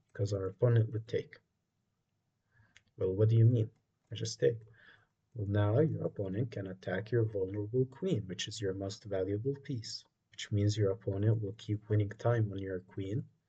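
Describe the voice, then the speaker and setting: Somewhat breathy and fairly low-pitched, a man's dark, mellow tone moves at a moderate pace with fairly even intonation and long, frequent pauses. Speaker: chess teacher. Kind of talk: tutorial. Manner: monotone.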